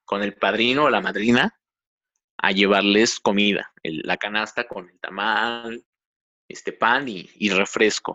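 A man with an unremarkable speaking voice talks at a fairly slow pace in a medium pitch. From Mexico, Tlaxcala. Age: 20s. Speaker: computer engineer and amateur photographer. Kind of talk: interview.

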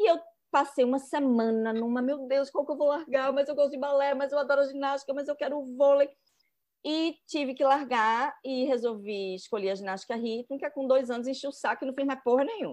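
A woman with a high pitch speaks at a fairly quick pace with ordinary pitch variation, against a quiet background. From Recife, Brazil. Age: 40s. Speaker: journalist and writer. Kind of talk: casual interview chat. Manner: animated.

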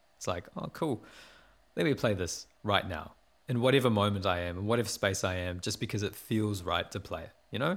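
In a New Zealand accent, a man with a fairly low pitch talks at a fairly quick pace with ordinary pitch variation on a very clean recording with a silent background. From New Zealand, Porirua. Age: 20s. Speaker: musician and producer. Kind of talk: interview. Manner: laughs often.

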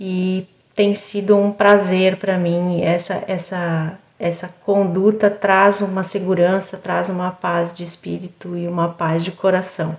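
Against noticeable background noise, a woman speaks at a medium pitch and a fairly slow pace with monotone, flat intonation. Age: 50s. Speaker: pharmacist and cosmetics entrepreneur. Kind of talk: podcast interview testimony. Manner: halting, repeats words.

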